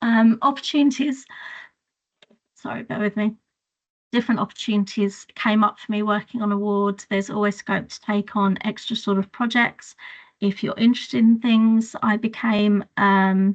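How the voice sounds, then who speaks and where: Speaking at a moderate pace with a southern English accent, a woman uses a fairly high pitch, fairly even intonation and a somewhat breathy voice. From England, Hertfordshire. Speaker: children's nurse. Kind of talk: webinar talk about career journey. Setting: video call webinar.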